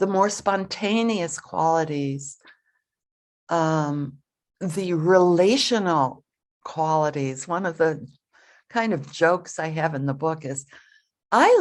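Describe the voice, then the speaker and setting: A woman with an American accent speaks at a very slow pace in a fairly low pitch, with ordinary pitch variation over a quiet background. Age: 70s. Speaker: Zen teacher. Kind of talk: dharma talk.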